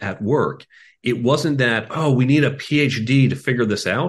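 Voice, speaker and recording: A man speaks at a moderate pace with an American accent and vocal fry. The background is quiet. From Chicago, US Midwest. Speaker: tech executive and career coach. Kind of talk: interview conversation.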